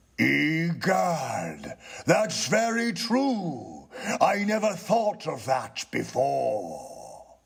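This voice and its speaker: Very slow in pace, the speech comes out slowly. It is a put-on character voice. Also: man, fairly high pitch for a man. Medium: read story. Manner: solemn, prosy.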